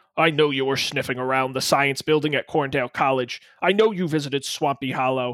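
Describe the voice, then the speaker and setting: In a put-on character voice, a man speaks at a moderate pace, recorded very cleanly against a silent background with a dry, close sound and no echo. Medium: talk show. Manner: menacing, sneering.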